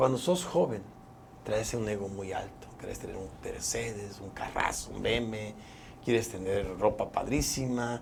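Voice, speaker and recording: Amid noticeable background noise and audible room echo, a man talks at a fairly low pitch with ordinary pitch variation. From Mexico, Chiapas (Tuxtla Gutiérrez). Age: 60s. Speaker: politician and physician. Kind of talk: interview.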